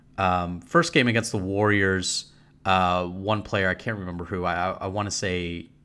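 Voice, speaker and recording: Here a man speaks with a very deep, low pitch and a bright, sharp tone. His intonation is monotone and flat. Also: very clean recording, silent background. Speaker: podcast host and esports writer. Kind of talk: casual podcast discussion.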